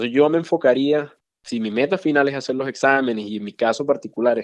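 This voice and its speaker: A man speaks at a very fast pace with medium pitch and fairly even intonation. The background is quiet. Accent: Venezuelan. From Venezuela, Valencia. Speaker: physician. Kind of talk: interview conversation.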